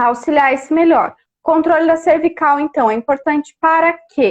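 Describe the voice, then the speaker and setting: Speaking at a fairly slow pace, a woman uses an extremely high pitch. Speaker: speech therapist. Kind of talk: live stream interview. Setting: Instagram live video call. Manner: animated.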